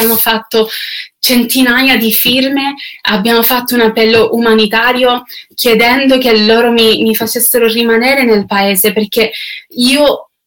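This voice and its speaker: A woman's fairly high voice at a fairly slow pace. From Canada. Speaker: singer. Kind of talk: testimony. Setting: online video livestream. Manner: halting.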